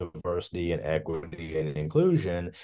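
A man with a Kentucky accent and a very deep, low voice against a quiet background. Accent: Kentucky Southern US. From western Kentucky, Hopkinsville. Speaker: professor of broadcasting, former journalist. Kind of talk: interview conversation. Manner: halting, with repetitions.

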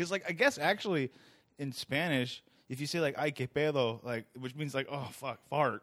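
The tone is animated, with ordinary pitch variation at a moderate pace. The sound is dry and close, with no echo. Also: man, fairly high pitch for a man. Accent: American. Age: 30s. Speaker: podcast host and stand-up comedian. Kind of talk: casual chat.

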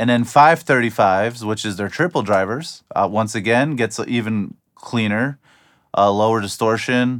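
An ordinary speaking voice from a man, medium in pitch with ordinary pitch variation and a moderate pace, on a very clean recording with a silent background. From US Midwest, Ohio. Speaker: drummer and audio engineer reviewing gear. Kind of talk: product review to camera. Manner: casual with frequent fillers.

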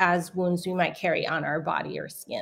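With an American accent and an unremarkable speaking voice, a woman talks at medium pitch and a moderate pace. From US West Coast, San Francisco. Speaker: author. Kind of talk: interview. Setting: video call.

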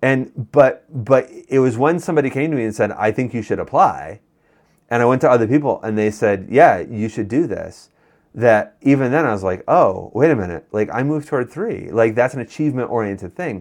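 This man has a plain, everyday voice with an American accent and a medium pitch. He talks at a fairly quick pace with ordinary pitch variation. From Western New York. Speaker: pastor. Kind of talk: casual chat.

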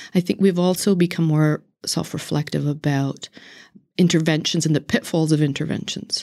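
In a Northern Irish accent, the speaker uses a dark, mellow tone and fairly even intonation at a moderate pace, on a very clean recording with a silent background. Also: woman. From Northern Ireland. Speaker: political science professor. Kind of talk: interview. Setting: conference recording.

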